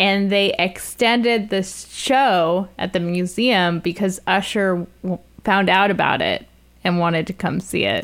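A woman with a normal speaking voice talks at a fairly slow pace, using a medium pitch and fairly even intonation, on a very clean recording with a silent background. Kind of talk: casual conversational art discussion.

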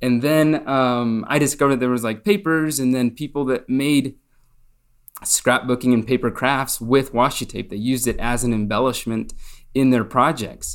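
A man with an American accent, a plain, everyday voice, medium pitch, fairly even intonation and a moderate pace. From Spain, partly raised in the US. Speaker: paper craft designer. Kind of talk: casual interview.

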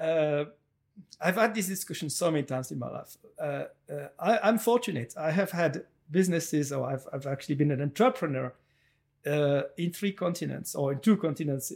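Speaking at a fairly quick pace in a French accent, a man uses a fairly high pitch and lively intonation on a very clean recording with a silent background. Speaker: entrepreneur and chocolate maker. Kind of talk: interview. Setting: on location.

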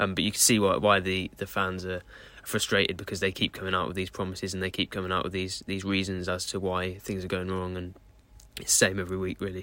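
In a southern English accent, a man talks at a very fast pace in a very deep, low, monotone, flat voice with a bright, sharp tone, on a very clean recording with a silent background. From Southeast England. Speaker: football correspondent. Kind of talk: casual chat.

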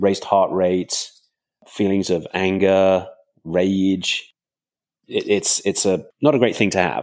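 At a very slow pace with long, frequent pauses, a man speaks in a very deep, low pitch with fairly even intonation. His loudness stays very even, and the recording is very clean with a silent background. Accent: southern English. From England, countryside outside London. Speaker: crime novelist. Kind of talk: interview.

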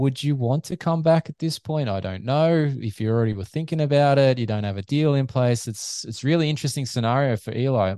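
A man with an Australian accent talks at a very fast pace, his tone dark and mellow with ordinary pitch variation. The sound is dry and close with no echo, over a quiet background. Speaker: physiotherapist and motocross media figure. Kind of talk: casual chat.

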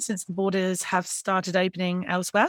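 The speech moves at a very fast pace. The sound is dry and close, with no echo. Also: woman. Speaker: podcast co-host. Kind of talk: casual interview.

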